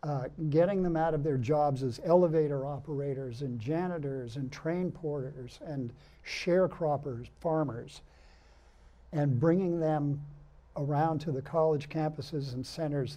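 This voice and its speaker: A man with an American accent and a dark, mellow tone, fairly high in pitch, at a fairly slow pace with fairly even intonation and audible room echo. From Massachusetts, US. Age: 70s. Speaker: blues musician. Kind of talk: TV interview.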